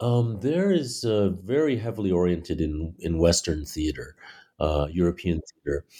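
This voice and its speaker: With a very deep, low pitch and a dark, mellow tone, a man talks at a moderate pace. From Taiwan (born in Washington DC, US elementary school). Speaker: playwright and theater director. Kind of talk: interview. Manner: halting, many fillers.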